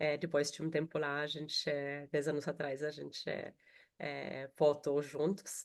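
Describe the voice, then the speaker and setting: A woman's very deep, low voice in an Austrian accent, fairly slow and monotone with flat intonation, against a quiet background. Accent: noticeable Austrian accent in Portuguese. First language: German (speaking Portuguese). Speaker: HR professional. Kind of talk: webinar panel talk. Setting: video call.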